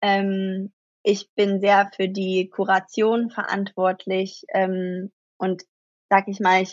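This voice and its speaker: A woman speaking at a very slow pace in a monotone, flat intonation. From Germany. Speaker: actress and startup founder. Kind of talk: interview. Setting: remote call across the Atlantic.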